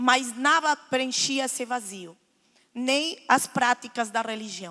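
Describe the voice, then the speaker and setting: A woman speaks very slowly in a high voice. Her tone is bright and sharp. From Lebanon, raised in Argentina. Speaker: guest speaker giving testimony. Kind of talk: testimony. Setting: church.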